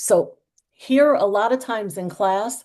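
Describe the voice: With an American accent, a woman speaks slowly. Her pitch is medium and varies in an ordinary way. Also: slightly mellow tone.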